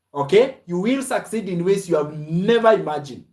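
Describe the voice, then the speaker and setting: A loud, shouting man with a high pitch, lively intonation, an animated tone and a fairly slow pace. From Kenya. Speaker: online business coach. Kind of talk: live stream sales pitch.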